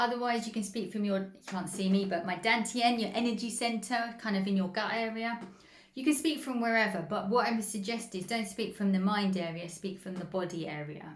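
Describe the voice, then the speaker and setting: A woman's fairly high, somewhat breathy voice with ordinary pitch variation and audible room echo. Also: fairly quick pace. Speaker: spiritual healing coach. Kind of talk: instructional talk.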